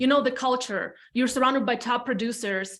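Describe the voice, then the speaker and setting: A high-pitched woman speaks at a fairly quick pace with an Eastern European accent. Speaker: real estate team leader. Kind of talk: podcast interview, personal story. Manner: casual, animated.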